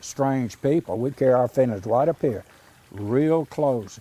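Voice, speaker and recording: With lively intonation and a fairly high voice, a man speaks at a moderate pace over noticeable background noise. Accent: Mississippi. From US South, Mississippi. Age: 80s+. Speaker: artist. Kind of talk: documentary interview. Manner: halting.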